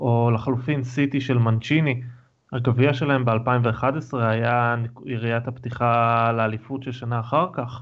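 In a normal speaking voice, a man talks at a fairly slow pace and medium pitch, his intonation fairly even. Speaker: podcast co-host. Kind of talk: casual chat. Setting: video call.

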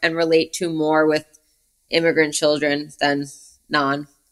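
A woman's bright, sharp tone with a New York accent. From US Northeast, Brooklyn, New York. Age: 30s. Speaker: film and music video director. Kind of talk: casual interview chat. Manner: animated.

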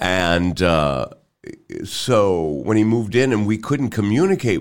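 A man's voice is very deep and low, with vocal fry. His pitch swings very widely. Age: 70s. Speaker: radio personality. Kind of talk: casual chat.

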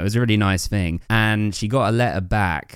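On a very clean recording with a silent background, a man with an English accent speaks at fairly low pitch with fairly even intonation. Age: 30s. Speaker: podcaster. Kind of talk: casual chat.

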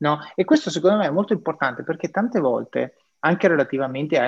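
A man speaks fairly quickly with lively intonation, the background quiet. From northeastern Italy (Triveneto). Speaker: podcast host. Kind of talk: interview.

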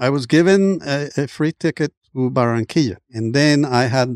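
A man speaks in a Colombian accent with ordinary pitch variation. The recording is very clean with a silent background, and the sound is dry and close with no echo. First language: Spanish. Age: 70s. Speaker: immigrant and former basketball player. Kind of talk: casual interview storytelling. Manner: frequent hesitations and repeated words.

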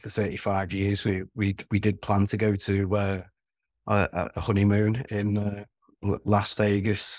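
In a Liverpool accent, a man speaks at a fairly slow pace and fairly low pitch with monotone, flat intonation. The recording is very clean with a silent background. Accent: Scouse. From Merseyside (Wirral, near Liverpool). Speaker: short-term rental owner. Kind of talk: interview. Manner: halting, repeats words.

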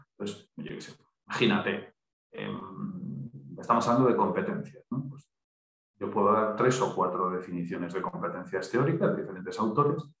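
This man's voice sits at a medium pitch and moves at a moderate pace, with very wide pitch swings, big shifts in loudness, long and frequent pauses, and audible room echo. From Galicia, Pontevedra. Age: 40s. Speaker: human resources trainer. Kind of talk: casual interview.

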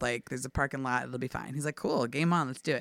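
A woman speaks with vocal fry at a very deep, low pitch. The recording is very clean, with a silent background and a dry, close sound with no echo. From Washington DC area. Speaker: theater company director. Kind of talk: casual storytelling.

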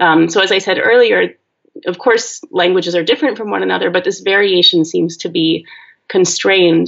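Vocal fry runs through a woman's voice as she speaks at a moderate pace. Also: medium pitch for a woman, ordinary pitch variation. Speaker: linguistics professor. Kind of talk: interview.

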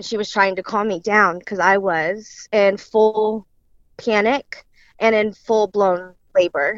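A woman with an American accent uses a normal speaking voice at a medium pitch, speaking at a fairly slow pace with fairly even intonation in a dry, close sound with no echo. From central Illinois. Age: 20s. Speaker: daughter of murder victim, daycare worker. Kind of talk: interview testimony.

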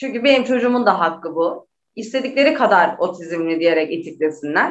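With lively intonation, this woman keeps up a fairly quick pace. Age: 30s. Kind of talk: interview.

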